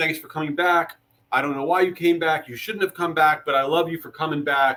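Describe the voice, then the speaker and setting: At a fairly quick pace, a man talks in an animated way, his bright, sharp tone sitting at a fairly high pitch. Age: 40s. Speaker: marketing agency executive. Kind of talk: webinar presentation. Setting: LinkedIn live stream. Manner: fast.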